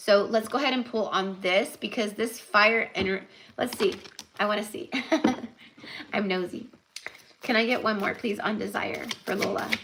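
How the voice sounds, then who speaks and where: Over noticeable background noise, a woman with a fairly high pitch talks in an animated tone at a moderate pace, with ordinary pitch variation and long, frequent pauses. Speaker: tarot reader. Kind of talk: live tarot reading. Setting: livestream. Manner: casual, animated.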